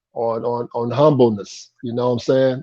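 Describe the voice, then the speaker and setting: Monotone, flat intonation from a man at medium pitch. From Indiana, US Midwest (Anderson). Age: 60s. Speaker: former pro basketball player. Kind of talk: interview.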